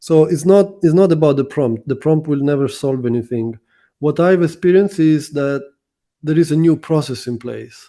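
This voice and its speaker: Against a quiet background, a man with a non-native accent speaks in a dark, mellow, fairly high voice at a moderate pace with ordinary pitch variation. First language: not English. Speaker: SEO consultant. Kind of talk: interview.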